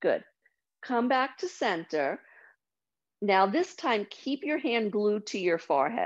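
Against a quiet background, a woman with a fairly high pitch speaks at a very slow pace, with very wide pitch swings and long, frequent pauses. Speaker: yoga teacher. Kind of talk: guided meditation. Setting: video call. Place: home room. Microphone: video call.

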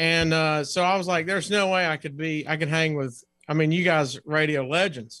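A bright, sharp voice with an American accent, dry and free of echo, over a quiet background. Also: man, fairly high pitch for a man, fairly even intonation, moderate pace. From US South. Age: 40s. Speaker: comedian. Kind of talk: casual chat. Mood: nostalgic, friendly. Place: home room.

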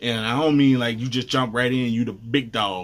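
A man speaks in an animated tone. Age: 30s. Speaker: gaming YouTuber. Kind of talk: casual vlog commentary. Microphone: webcam.

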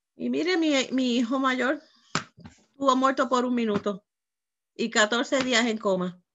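A woman's high-pitched voice with ordinary pitch variation, a very slow pace, long and frequent pauses, and light background noise. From Puerto Rico. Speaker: pastor; guest pastor preaching. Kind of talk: sermon. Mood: earnest, emotional testimony. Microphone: video call.

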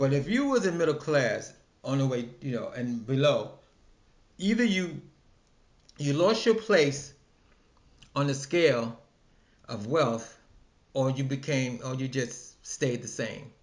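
Speech comes at a fairly slow pace, somewhat breathy, with long, frequent pauses. The background is quiet. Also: man. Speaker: vlogger. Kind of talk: casual opinion vlog. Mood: opinionated, relaxed. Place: home room. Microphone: webcam.

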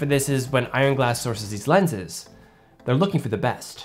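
A man talks with faint music in the background. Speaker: filmmaker reviewer. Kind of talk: tutorial commentary. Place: studio.

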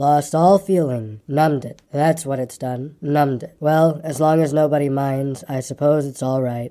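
A put-on character voice from a man, drawling at a moderate pace, fairly high-pitched, with hardly any pauses. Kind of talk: bedtime story. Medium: read story. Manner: glum, complaining drawl.

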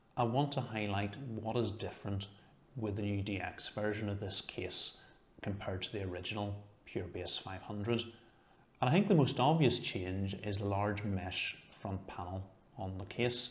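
At a moderate pace, a man talks in a fairly low, somewhat breathy voice. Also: ordinary pitch variation. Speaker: tech reviewer. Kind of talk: product review talk. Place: home room. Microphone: lapel.

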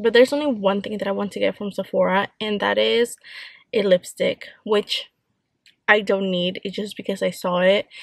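At a moderate pace, a woman speaks with dry sound, no echo, and a quiet background. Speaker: vlogger. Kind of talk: casual vlog chat. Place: car. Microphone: phone near.

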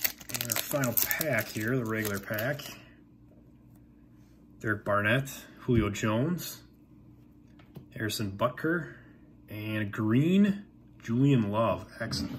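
A man speaks in a somewhat breathy voice with long, frequent pauses. Light background noise can be heard. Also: lively intonation. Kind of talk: casual pack opening commentary. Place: home room. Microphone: phone near.

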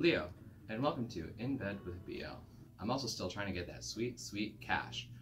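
Moderate-paced male speech amid noticeable background noise. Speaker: video reviewer. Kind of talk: casual vlog chat, review commentary. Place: home room.

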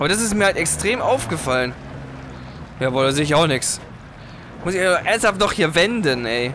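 A man with a fairly high voice talks at a fairly quick pace, his pitch swinging very widely. There are long, frequent pauses and noticeable background noise. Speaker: gaming YouTuber, let's play host. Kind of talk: casual gameplay commentary. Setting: driving game, recorded at PC.

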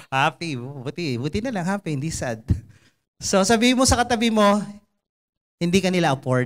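Against a quiet background, a man with a high pitch speaks at a moderate pace in an animated tone, his pitch swinging very widely between long, frequent pauses. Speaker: preacher. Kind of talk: sermon. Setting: church. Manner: animated, conversational and humorous, with jokes and mimicked voices; earnest and exhortative, in Taglish. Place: stage. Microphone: handheld.

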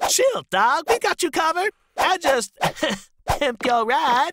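Fairly slow and high-pitched, this cartoonish character voice swings very widely in pitch. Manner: casual, slangy.

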